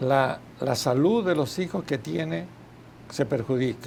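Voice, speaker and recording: The pitch swings very widely, with vocal fry throughout. The pace is very slow. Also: man. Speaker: gynecologist and obstetrician. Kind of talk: TV interview. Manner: halting.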